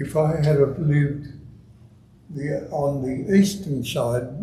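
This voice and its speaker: A man speaks with an Australian accent in a somewhat breathy voice with a dark, mellow tone. His intonation is fairly even, and the room echo is audible. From Melbourne, Australia (Heidelberg area). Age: 70s. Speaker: retired footballer, guest speaker. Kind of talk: after-dinner style talk. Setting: club meeting room with audience.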